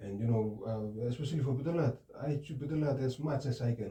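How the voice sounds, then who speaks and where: The voice is somewhat breathy and dark and mellow in tone, moving at a moderate pace. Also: man. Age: 20s. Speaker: counseling client. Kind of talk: role-play counseling session. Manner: halting.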